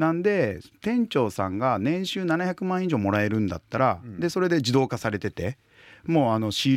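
On a very clean recording with a silent background, a man speaks at a moderate pace with very wide pitch swings. The sound is dry and close, with no echo. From Hiroshima, Japan. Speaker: company CEO and restaurant consultant. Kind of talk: casual interview chat.

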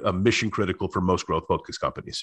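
A man speaks with ordinary pitch variation while everything around him stays quiet. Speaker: author and customer experience professional. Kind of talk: casual interview chat. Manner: fast talker.

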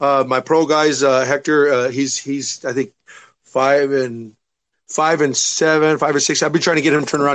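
The man here speaks at a fairly high pitch. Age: 30s. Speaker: MMA fighter and striking coach. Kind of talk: casual interview.

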